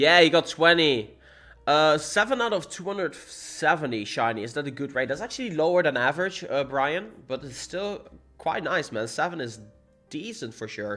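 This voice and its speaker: Heard on a very clean recording with a silent background, this speaker has a Dutch accent, a bright, sharp tone, very wide pitch swings and big swings in loudness. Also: man, fairly high pitch for a man, moderate pace. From Netherlands. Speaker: gaming streamer. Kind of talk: livestream chat. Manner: casual, animated.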